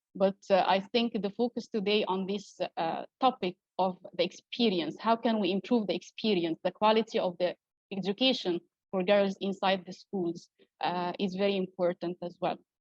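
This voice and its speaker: A woman's medium-pitched voice with an Arabic accent, at a moderate pace with fairly even intonation, dry and close with no echo. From Egypt. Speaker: academic researcher. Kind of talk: conference talk. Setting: online event. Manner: hesitant, many fillers.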